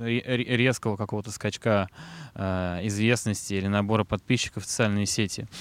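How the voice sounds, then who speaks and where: In a very clean recording with a silent background, a man speaks in a plain, everyday voice at a fairly low pitch, with fairly even intonation and a moderate pace. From Moscow, Russia. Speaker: rock band vocalist. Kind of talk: casual interview. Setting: outdoors in a park.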